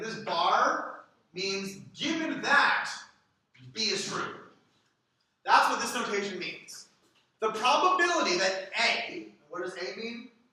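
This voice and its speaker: Speaking very slowly with long, frequent pauses, a man with a high voice swings widely in pitch and heavily in loudness, and the room echo is audible. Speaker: data science instructor. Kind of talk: lecture.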